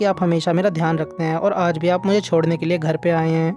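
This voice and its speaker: Speech comes at a moderate pace with music in the background. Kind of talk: anime recap narration.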